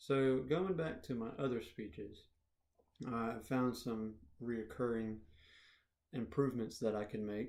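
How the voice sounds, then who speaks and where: A man talks quietly at a fairly slow pace with long, frequent pauses, his medium pitch showing ordinary variation. Audible room echo surrounds his voice. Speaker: public speaking student. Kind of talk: self-reflection video. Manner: quiet, poorly projected.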